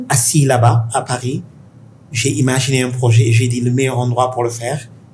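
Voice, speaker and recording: Monotone, flat intonation at a moderate pace, with audible room echo and noticeable background noise. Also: man, medium pitch for a man. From Senegal (Dakar). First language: Pulaar (speaking French). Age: 50s. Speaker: tech investor. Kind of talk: interview conversation. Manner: halting.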